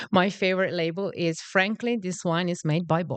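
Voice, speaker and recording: A woman's medium-pitched voice with a Northern Italian accent. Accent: Northern Italian (Venetian) accent in English. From Italy, Veneto. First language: Italian (Venetian). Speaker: marketing and branding professional. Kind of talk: casual podcast chat.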